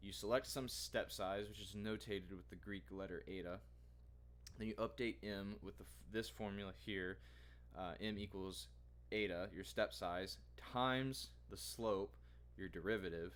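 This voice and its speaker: Very deep, low male voice with vocal fry, very wide pitch swings and long, frequent pauses. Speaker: student vlogger. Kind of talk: tutorial. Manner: fast; halting, many fillers.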